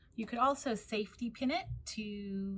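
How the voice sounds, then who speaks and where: A woman speaks with an American accent. Her voice is somewhat breathy, with ordinary pitch variation. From United States. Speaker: librarian. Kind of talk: tutorial.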